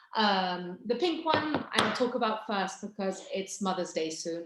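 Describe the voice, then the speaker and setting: Over noticeable background noise, a woman of medium pitch speaks at a fairly slow pace. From England, English countryside. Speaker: fragrance brand founder. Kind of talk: product presentation on video call. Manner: animated.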